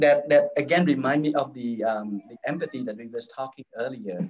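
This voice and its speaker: Moderate pace and ordinary pitch variation from a man's medium-pitched voice. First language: not English; English is his third language. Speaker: university student affairs administrator. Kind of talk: interview. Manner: halting, with many restarts and fillers.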